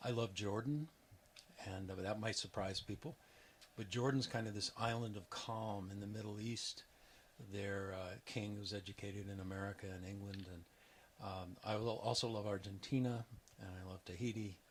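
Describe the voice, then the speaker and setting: Somewhat breathy and fairly low in pitch, a man talks at a moderate pace with fairly even intonation. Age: 60s. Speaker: retiring geography professor. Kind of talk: interview.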